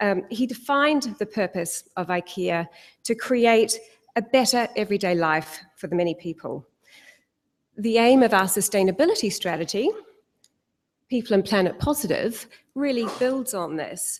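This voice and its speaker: A woman's fairly high voice at a moderate pace, lively in intonation, with long, frequent pauses. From New Zealand, South Island. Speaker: corporate sustainability head. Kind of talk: conference talk.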